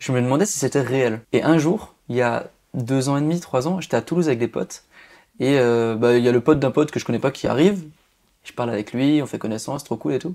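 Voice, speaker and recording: A man's dark, mellow tone comes through at a very fast pace. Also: medium pitch for a man, ordinary pitch variation. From rural Alsace, France. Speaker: magician. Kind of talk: podcast interview. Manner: over-articulated; casual, informal.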